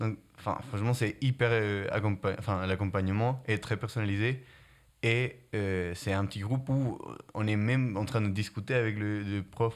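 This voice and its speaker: This man has a slight non-native accent and a fairly low pitch. He speaks at a fairly slow pace in a very clean recording with a silent background. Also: fairly even intonation. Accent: slight foreign. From Guatemala. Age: young. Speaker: student. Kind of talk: interview. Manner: hesitant, many fillers.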